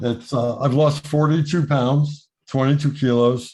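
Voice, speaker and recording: Speaking very slowly, a man with a fairly high pitch has a dark, mellow tone, fairly even intonation and a somewhat breathy quality. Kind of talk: casual chat.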